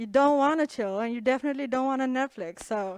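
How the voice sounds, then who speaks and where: This woman has a high-pitched voice and speaks with an Indian accent. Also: very clean recording, silent background. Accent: Indian English, noticeable. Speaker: comedian. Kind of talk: stand-up. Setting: stage with audience.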